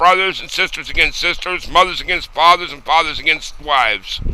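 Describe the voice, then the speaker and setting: A man speaks with an American accent in a high pitch. His intonation stays fairly even. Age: old. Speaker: war veteran. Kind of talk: video response to camera.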